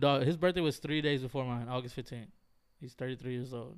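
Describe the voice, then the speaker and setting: Very fast in pace, a man speaks at a medium pitch. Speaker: podcast host. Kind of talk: casual chat. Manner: animated.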